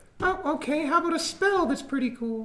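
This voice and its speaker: Putting on a character voice pitched extremely high, a man speaks at a fairly quick pace. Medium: actual play. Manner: brash, sarcastic.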